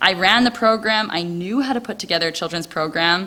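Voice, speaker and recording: A loud voice with a Canadian accent carries a bright, sharp tone. Its pitch varies in an ordinary way. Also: woman. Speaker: missionary volunteer. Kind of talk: testimony. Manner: loud and talkative.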